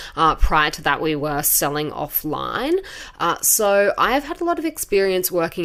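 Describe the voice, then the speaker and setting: Here a woman speaks in an Australian accent. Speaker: podcast host, beauty industry expert. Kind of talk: podcast monologue. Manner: casual, conversational.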